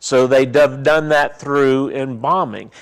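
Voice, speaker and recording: A man speaks at a fairly slow pace with a Southern US accent, on a very clean recording with a silent background. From US South, Mississippi. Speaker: funeral director and mortuary science instructor. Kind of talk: seminar talk.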